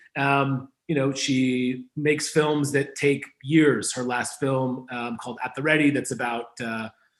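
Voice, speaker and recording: In an American accent, this is a plain, everyday voice at a fairly slow pace. The intonation stays fairly even. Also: man, fairly high pitch for a man. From New York, Hudson Valley. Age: 30s. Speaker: newspaper owner and brand consultant. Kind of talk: interview. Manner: casual, many fillers.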